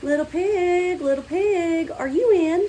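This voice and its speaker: A woman's put-on character voice, squeaky and extremely high-pitched, at a fairly slow pace against clear background noise. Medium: read story.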